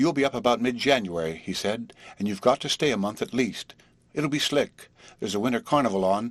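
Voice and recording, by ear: The text is read aloud naturally. Lively intonation runs through it.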